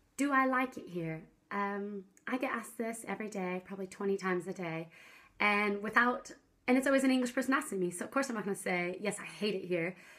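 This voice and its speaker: A woman talks at a very fast pace in a bubbly tone. Her pitch is medium, with ordinary pitch variation. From US Pacific Northwest, Seattle. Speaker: vlogger. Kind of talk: casual vlog talk to camera. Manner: bubbly, loud.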